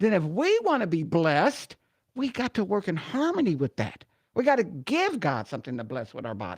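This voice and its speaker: A woman's animated, medium-pitched voice with vocal fry and very wide pitch swings, fairly quick, against a quiet background. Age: 70s. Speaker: retired runway model, wellness speaker. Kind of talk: radio interview.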